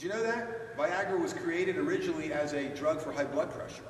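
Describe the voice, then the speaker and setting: There is audible room echo as a man talks. Light background noise sits underneath. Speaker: presenter. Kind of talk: lecture. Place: hall.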